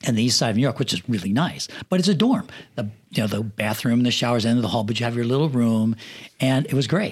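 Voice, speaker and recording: An American-accented man talks very fast at a medium pitch, his pitch varying in an ordinary way. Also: very clean recording, silent background. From rural Pennsylvania. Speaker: film assistant director and production manager. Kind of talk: casual interview chat. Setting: studio.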